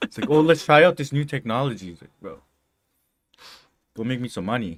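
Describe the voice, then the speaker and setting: The man speaks at a fairly quick pace with lively intonation and vocal fry. His loudness swings widely. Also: medium pitch for a man. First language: not English. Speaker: coding streamer. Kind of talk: casual chat. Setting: live stream. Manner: animated.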